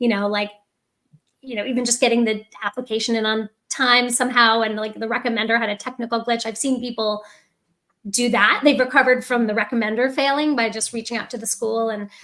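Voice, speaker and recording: A woman speaks at a fairly quick pace. Her fairly high voice stays monotone and flat. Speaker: admissions consultant. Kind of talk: podcast discussion. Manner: hesitant.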